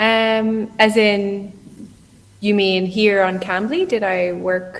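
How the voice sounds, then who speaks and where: A woman with an Irish Midlands accent speaks very slowly in a monotone, flat intonation. Audible room echo surrounds her voice. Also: medium pitch for a woman. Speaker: online English tutor. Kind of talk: casual conversation practice.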